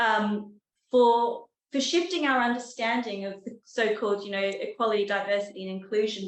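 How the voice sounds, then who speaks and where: A woman with an Australian accent speaks at a moderate pace in a fairly high voice with ordinary pitch variation. The room echo is audible. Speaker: professor. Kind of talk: lecture. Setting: talk with live and online audience.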